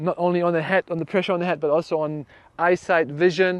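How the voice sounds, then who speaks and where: A man with a German accent speaks in a fairly high pitch with fairly even intonation. The sound is dry and close with no echo, over a quiet background. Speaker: fascia trainer. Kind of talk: guided exercise class. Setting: class with one participant. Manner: halting.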